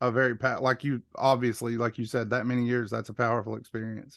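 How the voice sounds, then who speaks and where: A man with a Southern US accent talks at a fairly quick pace with medium pitch and monotone, flat intonation. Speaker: workshop participant. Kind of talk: casual chat.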